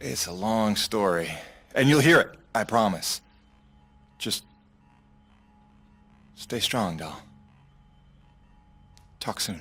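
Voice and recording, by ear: Putting on a character voice, a man speaks slowly with long, frequent pauses, his fairly low pitch carrying a fairly bright tone, a slightly husky edge and lively intonation.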